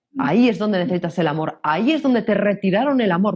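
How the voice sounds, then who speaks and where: An animated voice with a Castilian accent races along at a very fast pace, its pitch swinging very widely over a quiet background. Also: woman. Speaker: personal growth coach. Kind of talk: interview. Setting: podcast recording.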